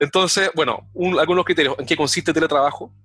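Heard with a dry, close sound and no echo, a man talks very fast at a high pitch with fairly even intonation. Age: 40s. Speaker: sales consultant. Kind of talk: interview.

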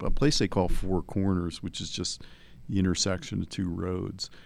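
With an American accent, a man speaks in a very deep, low pitch. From New Jersey. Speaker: criminal defense attorney. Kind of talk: casual chat.

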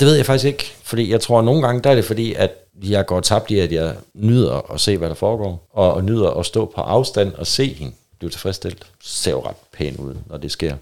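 A man talks at a moderate pace in a fairly low voice with vocal fry. His intonation is lively, and his loudness swings widely. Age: 30s. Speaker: guest in swinger lifestyle. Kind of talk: casual chat.

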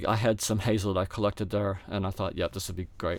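A man on a very clean recording, silent background. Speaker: flute maker and player. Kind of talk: interview.

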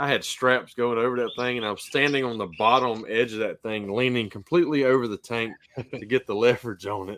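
A man with a plain, everyday voice speaks at a fairly quick pace, his medium pitch held in a fairly even intonation. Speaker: podcast host. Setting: video call.

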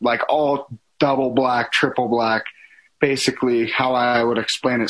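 Speaking at a fairly slow pace, a man with an American accent keeps a flat monotone at medium pitch. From Colorado mountains (Silverton). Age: 20s. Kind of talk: casual interview.

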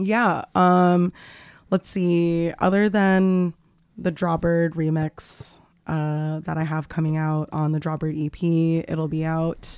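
In an American accent, the speaker talks at a very slow pace with a monotone, flat intonation. The recording is very clean, with a silent background. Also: woman, fairly low pitch for a woman. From Las Vegas, US. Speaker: DJ and music producer. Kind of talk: interview.

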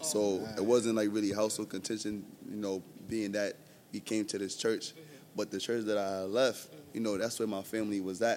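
A man speaks fairly quickly in a New York accent. His voice is fairly low, with fairly even intonation. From Brooklyn, New York. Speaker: church member, teacher. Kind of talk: casual interview, testimony.

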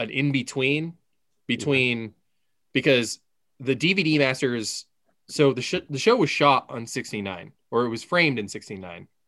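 Lively in intonation, a man at medium pitch talks at a fairly slow pace. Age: 30s. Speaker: podcast co-host. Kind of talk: casual chat.

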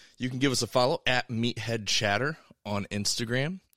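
A man with a plain, everyday voice, medium pitch and ordinary pitch variation speaks at a moderate pace in a dry, close sound with no echo. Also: very clean recording, silent background. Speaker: podcast host. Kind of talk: casual chat.

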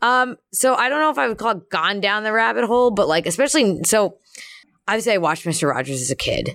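A woman with an American accent, very fast, fairly high-pitched with vocal fry and very wide pitch swings. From US Northeast, Philadelphia. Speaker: professional wrestler. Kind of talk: casual chat. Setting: in a room at a wrestling show.

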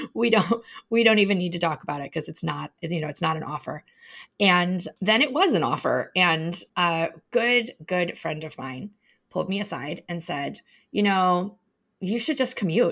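Speaking at a moderate pace with lively intonation, a woman with an ordinary speaking voice and a fairly low pitch is heard in a very clean recording with a silent background. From Chicago. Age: 40s. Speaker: business consultant and author. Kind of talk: interview.

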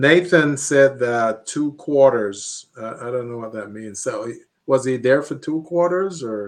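Using a normal speaking voice, a man talks at a fairly slow pace with a medium pitch, ordinary pitch variation and big swings in loudness. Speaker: radio host. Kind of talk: radio show banter. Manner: upbeat.

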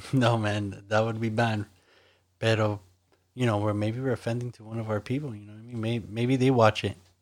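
The speaker has an American accent and monotone, flat intonation. The pace is fairly quick. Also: man, medium pitch for a man. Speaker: co-host. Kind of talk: casual bilingual banter.

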